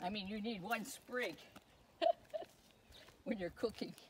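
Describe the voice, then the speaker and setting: A woman speaks at a fairly slow pace. Her pitch swings very widely. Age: 80s+. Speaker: gardener. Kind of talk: casual garden tour talk to camera.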